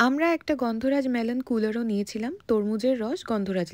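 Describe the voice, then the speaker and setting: On a very clean recording with a silent background and a dry, close sound with no echo, a woman speaks at a high pitch with lively intonation. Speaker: food blogger. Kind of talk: food review voiceover. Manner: chatty, conversational.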